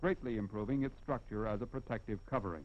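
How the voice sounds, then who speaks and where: Vocal fry runs through a confident tone. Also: man. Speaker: film narrator. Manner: formal, measured, brisk and declarative, with confident, even pacing; didactic, explaining step by step with emphasis on key points. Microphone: old recording.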